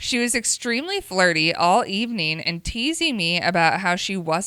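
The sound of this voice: Lively intonation in an unforced reading voice.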